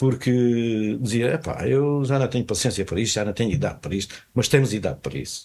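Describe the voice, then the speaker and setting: A man speaks at a very fast pace with hardly any pauses. His medium-pitched voice has lively intonation. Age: 80s+. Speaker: retired telecom technician and fado singer. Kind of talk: casual interview. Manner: halting, repeats words.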